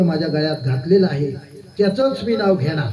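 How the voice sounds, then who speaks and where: Audible room echo and noticeable background noise surround a man speaking with lively intonation. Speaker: kirtan performer. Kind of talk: sermon.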